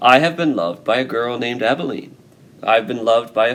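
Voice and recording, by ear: A passage of reading aloud in a natural voice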